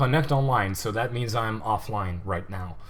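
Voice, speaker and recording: With a non-native accent, a man talks at a moderate pace. His intonation is lively, and the room echo is audible. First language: not English. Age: 20s. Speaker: gaming livestreamer. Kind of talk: gameplay commentary livestream. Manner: casual, hesitant with fillers.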